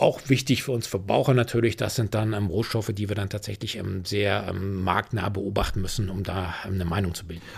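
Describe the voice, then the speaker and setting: Fairly low in pitch and somewhat breathy, a man speaks at a fairly quick pace with fairly even intonation and hardly any pauses. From Rhineland, Germany. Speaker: commodities analyst. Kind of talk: interview.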